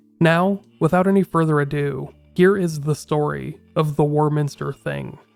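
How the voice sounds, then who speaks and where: Over music in the background, a man speaks at a moderate pace in a fairly high pitch with fairly even intonation. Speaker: podcast host. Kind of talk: scripted narration.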